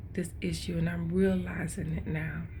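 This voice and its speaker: Whispering at a fairly slow pace with vocal fry, a woman speaks amid audible room echo. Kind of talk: devotional vlog. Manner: casual, conversational.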